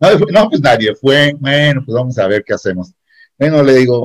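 Speaking fairly slowly, the man has a fairly high pitch. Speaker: secondary school teacher. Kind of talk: casual chat. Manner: animated.

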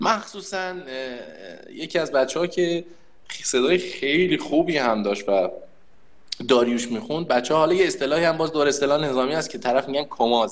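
A man with a fairly high pitch and lively intonation talks at a moderate pace over noticeable background noise. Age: 30s. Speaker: conscript soldier and employer. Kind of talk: casual chat.

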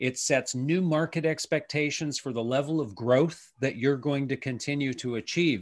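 Speaking with a Canadian accent and an unremarkable speaking voice, a man talks at a moderate pace with hardly any pauses, a fairly high pitch and ordinary pitch variation. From Canada. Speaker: retail futurist and consultant. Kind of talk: interview. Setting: video call.

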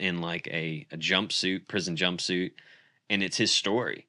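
This man has a very deep, low voice with a bright, sharp tone and an American accent. He talks at a fairly slow pace in a very clean recording with a silent background. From Pennsylvania, Centre County. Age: 30s. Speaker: pastor. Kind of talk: casual chat.

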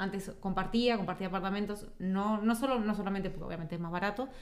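There is noticeable background noise as a woman talks at medium pitch. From Uruguay. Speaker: migrant interviewee. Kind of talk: casual chat.

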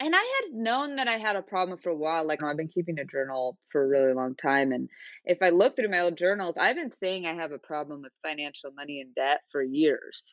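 This is a normal speaking voice at a fairly quick pace. The loudness swings widely, and the intonation is lively. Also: woman, fairly low pitch for a woman. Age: 30s. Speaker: photographer. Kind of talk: interview.

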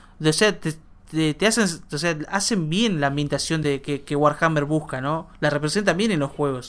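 The recording is very clean, and the background is silent. A normal speaking voice keeps a moderate pace and ordinary pitch variation. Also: man, fairly high pitch for a man. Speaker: podcast co-host. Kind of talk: casual chat.

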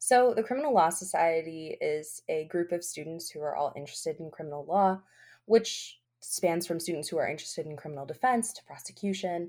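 This woman has a normal speaking voice, fairly low in pitch, with lively intonation and big swings in loudness at a fairly quick pace. The recording is very clean, with a silent background. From Albany, New York. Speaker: law student. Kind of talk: casual interview.

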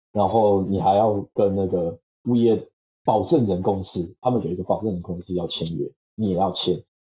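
At a moderate pace, the somewhat breathy speech keeps a fairly even intonation. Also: man, fairly low pitch for a man. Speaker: software engineer. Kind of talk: casual interview. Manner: halting, many fillers.

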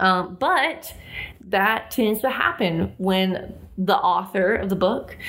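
A woman with a Southern US accent speaks very slowly at a medium pitch, with vocal fry. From US South. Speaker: podcast co-host. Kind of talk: casual chat about books and films.

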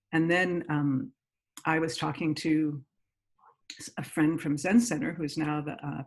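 Her pitch is very deep and low for a woman. She speaks with an American accent. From US Northeast, Great Neck, New York. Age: 60s. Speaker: mindfulness teacher. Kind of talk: interview.

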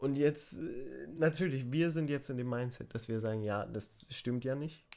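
On a very clean recording with a silent background, a man speaks at a fairly slow pace in a dark, mellow tone, with a medium pitch and ordinary pitch variation. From Germany. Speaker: podcast co-host. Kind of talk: casual chat.

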